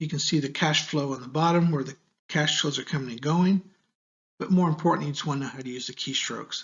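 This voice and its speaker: A man's fairly high, a normal speaking voice with an American accent and ordinary pitch variation. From United States. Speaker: university lecturer. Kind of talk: tutorial. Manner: casual, conversational.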